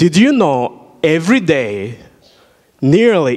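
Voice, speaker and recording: At a very slow pace, a man talks at a fairly high pitch. His pitch swings very widely. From Burundi. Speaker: surgical worker and invited speaker; speaker. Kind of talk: inspirational talk to school students. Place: church. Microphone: handheld.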